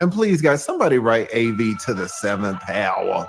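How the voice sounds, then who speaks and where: A man with a Southern US accent speaks at a medium pitch and a moderate pace on a very clean recording with a silent background. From US South, Atlanta, Georgia. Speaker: YouTuber. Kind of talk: casual chat on livestream.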